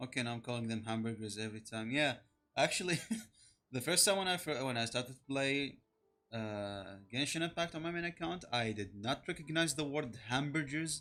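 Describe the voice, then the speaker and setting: In a very clean recording with a silent background, a man with a non-native accent speaks at a fairly quick pace, his medium-pitched voice bright and sharp with lively intonation. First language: not English. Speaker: VTuber game streamer. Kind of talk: casual live gaming commentary.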